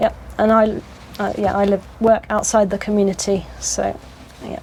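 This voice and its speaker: With a British accent, a woman speaks at a moderate pace. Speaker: community resident and school worker. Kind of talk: interview. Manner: hesitant, many fillers.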